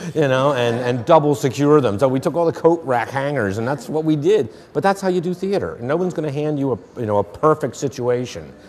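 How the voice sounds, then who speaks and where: Speaking in a Philadelphia accent, a man keeps a moderate pace. His pitch is fairly high, with ordinary variation. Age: 50s. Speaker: playwright. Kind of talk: interview.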